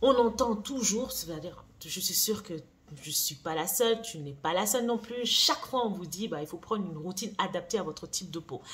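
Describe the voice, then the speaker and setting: Speaking at a fairly quick pace, a woman with a medium pitch uses lively intonation and big swings in loudness. Noticeable background noise runs under her voice. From France. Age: 40s. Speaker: beauty brand founder and YouTuber. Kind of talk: vlog monologue. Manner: casual, hesitant with fillers.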